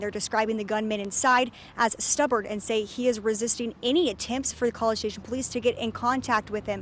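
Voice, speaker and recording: A woman with a fairly high pitch talks at a fairly quick pace over noticeable background noise. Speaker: TV news anchor and reporter. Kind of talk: TV news anchor and reporter delivery.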